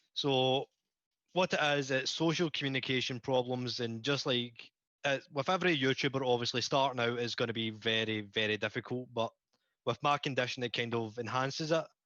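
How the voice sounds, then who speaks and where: A man with a bright, sharp tone and a medium pitch speaks at a fairly quick pace, his intonation fairly even and his loudness very even, in a dry, close recording with no echo and a quiet background. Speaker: YouTuber. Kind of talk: casual chat.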